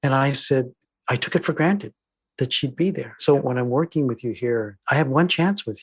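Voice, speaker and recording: Speaking with an American accent at a moderate pace, a man with a fairly high, somewhat breathy voice and ordinary pitch variation comes through dry and close with no echo on a very clean recording with a silent background. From California. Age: 70s. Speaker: diversity trainer and filmmaker. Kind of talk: podcast interview. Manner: earnest.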